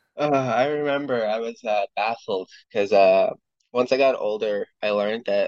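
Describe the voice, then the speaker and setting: With a Western Canadian accent, a man speaks at a moderate pace. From northern British Columbia, Canada. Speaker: podcast guest, delivery driver. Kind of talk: casual chat. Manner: halting.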